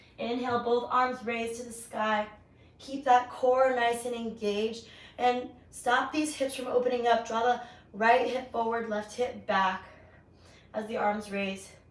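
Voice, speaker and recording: The voice moves at a moderate pace with monotone, flat intonation. Room echo is audible. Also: woman. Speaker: yoga instructor. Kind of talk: guided yoga class. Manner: projecting voice louder. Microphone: mic died, no microphone, may be hard to hear.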